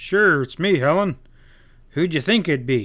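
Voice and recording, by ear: A man's gruff, put-on character voice, fairly high-pitched, with lively intonation at a moderate pace.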